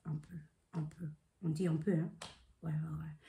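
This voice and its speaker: A woman's voice, somewhat breathy, carries a dark, mellow tone. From Congolese heritage. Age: 20s. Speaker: vlogger. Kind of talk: casual vlog monologue.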